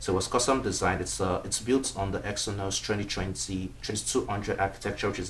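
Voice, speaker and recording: A man with an African accent and a very deep, low pitch speaks at a very fast pace with ordinary pitch variation. Noticeable background noise and audible room echo are present. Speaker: tech reviewer. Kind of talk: product review. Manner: casual, with frequent fillers (um).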